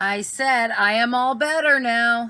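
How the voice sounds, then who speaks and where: Using a put-on character voice, a woman talks at a fairly slow pace in a high pitch. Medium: read story. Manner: whiny.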